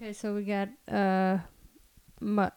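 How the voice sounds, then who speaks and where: Speaking at a very slow pace, a woman has a medium pitch. Her tone is dark and mellow. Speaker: fitness trainer. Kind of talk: casual chat.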